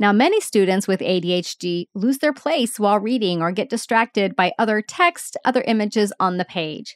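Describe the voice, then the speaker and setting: Lively intonation with hardly any pauses. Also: woman, fairly high pitch for a woman. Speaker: podcast host, nurse educator. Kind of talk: solo educational podcast. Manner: slow, deliberate pace.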